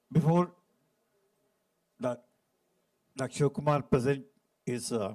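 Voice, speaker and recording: A man's fairly high-pitched voice with a dark, mellow tone, lively intonation and a fairly slow pace. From India. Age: 70s. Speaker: session chair, psychiatrist. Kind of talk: conference talk.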